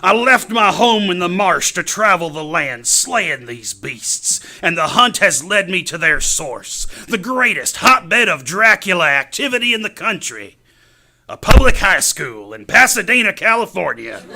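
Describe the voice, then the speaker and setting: Drawling in a put-on character voice at a moderate pace, a man speaks at a high pitch with very wide pitch swings and big swings in loudness. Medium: stage play. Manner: folksy, ungrammatical drawl.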